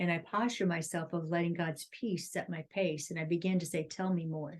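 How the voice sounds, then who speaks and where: This is a normal speaking voice moving at a fairly quick pace. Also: woman. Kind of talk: casual chat.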